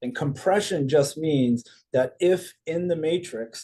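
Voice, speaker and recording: A man's voice, dark and mellow in tone. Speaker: network marketing presenter. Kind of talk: recorded business presentation. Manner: fast.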